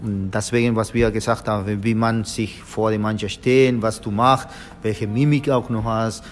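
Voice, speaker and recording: With a Spanish accent, a man speaks at a fairly low pitch with fairly even intonation. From Argentina. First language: Spanish (speaking German). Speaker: football coach, former professional footballer. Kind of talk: interview. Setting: hotel, in person. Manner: halting, many filler sounds.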